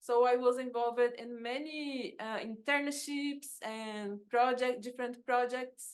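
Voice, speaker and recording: Someone with a Brazilian accent speaks at a fairly slow pace with hardly any pauses. The intonation stays fairly even while loudness swings widely. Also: woman, high pitch for a woman. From Brazil, São Paulo. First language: Portuguese. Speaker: agroecologist and researcher. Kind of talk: conference talk. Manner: halting.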